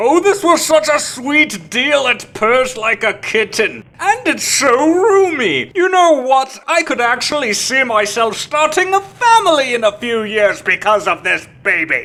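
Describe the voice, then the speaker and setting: A high-pitched, cartoonish character voice with a theatrical tone moves through very wide pitch swings at a fairly slow pace. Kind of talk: mock-grand riddle voice.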